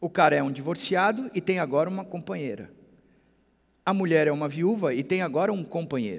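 A man's fairly high voice with vocal fry, lively intonation and a fairly quick pace. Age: 50s. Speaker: pastor. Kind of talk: sermon.

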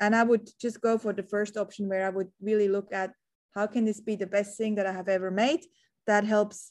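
Delivery comes at a fairly quick pace with monotone, flat intonation. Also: woman. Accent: slight Swiss. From Switzerland. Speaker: entrepreneur and marketing strategist. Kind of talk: interview.

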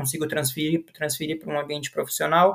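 Monotone, flat delivery from a man at a fairly high pitch and a very fast pace. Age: 30s. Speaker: pedagogue at a Down syndrome center. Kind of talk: podcast interview.

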